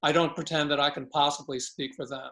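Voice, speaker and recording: A fairly quick-paced man with a fairly high pitch. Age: 60s. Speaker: city commission member. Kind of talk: public meeting remarks. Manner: halting.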